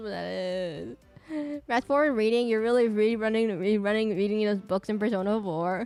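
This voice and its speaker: Over music in the background, a woman talks at a moderate pace in a fairly high voice. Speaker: streamer drawing live requests. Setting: live stream, drawing while reading chat.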